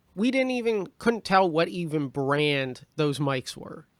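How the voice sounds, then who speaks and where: A fairly slow delivery with very wide swings in pitch. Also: man. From Canada, Prince George, British Columbia. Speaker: stand-up comedian and podcast co-host. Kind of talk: casual chat. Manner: loud.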